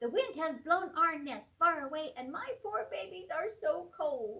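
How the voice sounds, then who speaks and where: A squeaky, put-on character voice swings very widely in pitch. The pace is moderate. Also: woman, extremely high pitch for a woman. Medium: read story.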